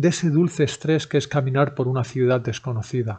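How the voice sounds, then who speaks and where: Dark, mellow, somewhat breathy male speech. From Spain, Barcelona. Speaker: language-learning podcaster. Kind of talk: scripted narration.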